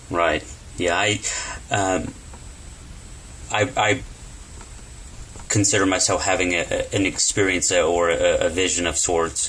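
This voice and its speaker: A man with an American accent talks at a fairly slow pace, taking long, frequent pauses. His loudness stays very even over noticeable background noise. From Texas. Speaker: interviewer. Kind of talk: interview. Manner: halting.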